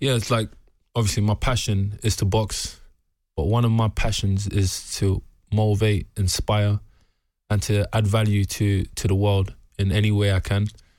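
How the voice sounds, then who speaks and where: A man with a London accent talks at a fairly low pitch in a monotone, flat delivery with very even loudness. The recording is very clean, with a silent background. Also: moderate pace. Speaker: professional boxer. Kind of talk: interview.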